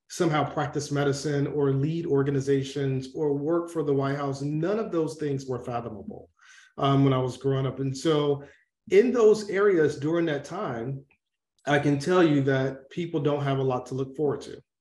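Heard with audible room echo, a man with an American accent speaks at a moderate pace in a dark, mellow tone that is fairly high in pitch, with ordinary pitch variation. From US South, Atlanta, Georgia. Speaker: former military medical officer, public health professional; interview guest. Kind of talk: interview. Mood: serious, reflective. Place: home room. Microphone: video call.

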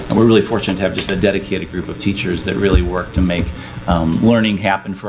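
Very fast speech from a man with a fairly low voice, amid noticeable background noise. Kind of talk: meeting report. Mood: appreciative, warm. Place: hall. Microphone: camera far.

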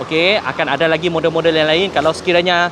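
Over noticeable background noise, the speech moves at a very fast pace. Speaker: car sales coordinator. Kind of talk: live stream car review and sales pitch. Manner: code-switching Malay and English.

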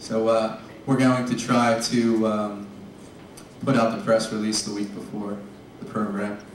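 A man at medium pitch, fairly slow, with long and frequent pauses, flat monotone intonation, audible room echo and light background noise. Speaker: lecture series organizer. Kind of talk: event announcements. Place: hall. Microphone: camera far.

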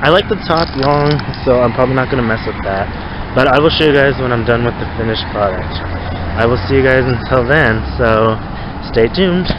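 A man at a fairly quick pace with ordinary pitch variation, in a dry sound with no echo and noticeable background noise. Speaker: vlogger. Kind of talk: casual vlog chat. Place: street. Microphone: phone near.

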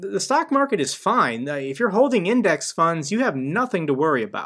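A man at a moderate pace with very wide pitch swings against a quiet background. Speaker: finance youtuber. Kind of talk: commentary. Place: home room.

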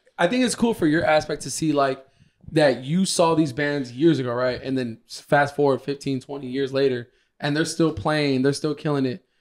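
Against a quiet background, the speech moves at a moderate pace with ordinary pitch variation. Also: man, fairly high pitch for a man. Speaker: podcast co-host. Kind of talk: casual chat. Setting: studio with a live audience. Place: home room. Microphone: handheld.

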